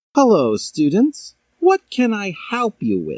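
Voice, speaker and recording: Speaking in a put-on character voice, a man pitches himself high. His pace is fairly slow. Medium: read story. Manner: calm, friendly.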